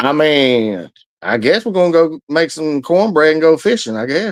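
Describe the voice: A Southern US accent comes through in this speech. It moves at a moderate speed. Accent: Southern American.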